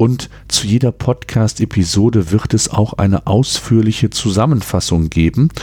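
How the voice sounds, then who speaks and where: A man with a fairly low, dark, mellow voice speaks at a moderate pace, somewhat breathy, with ordinary pitch variation and very even loudness. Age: 40s. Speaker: podcast host and entrepreneur. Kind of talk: solo podcast monologue. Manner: hesitant fillers.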